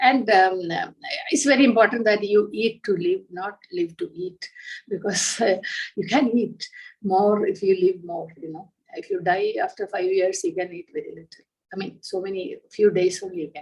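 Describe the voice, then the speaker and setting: A woman speaks at a moderate pace with a medium pitch, ordinary pitch variation, and big swings in loudness. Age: 60s. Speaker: entrepreneur. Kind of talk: interview. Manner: hesitant, many fillers.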